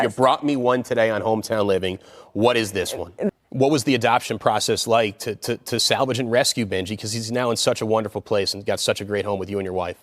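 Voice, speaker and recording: A man with an American accent talks at a very fast pace. His medium-pitched voice has an upbeat, energetic tone. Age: 30s. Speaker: lifestyle TV host. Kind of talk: upbeat TV interview host banter. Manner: upbeat, energetic, jokey.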